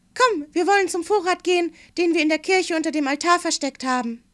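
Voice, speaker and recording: A woman speaks in a gentle, playful tone. The recording is very clean, with a silent background. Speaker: fairy tale reader. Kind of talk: bedtime story reading aloud. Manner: gentle, unhurried storyteller voice with playful character voices.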